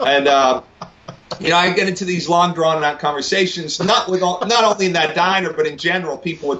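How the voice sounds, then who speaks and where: A man talks at a fairly quick pace with ordinary pitch variation. Noticeable background noise runs underneath. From northwest England, Wigan. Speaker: singer. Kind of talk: casual interview. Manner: halting, many fillers.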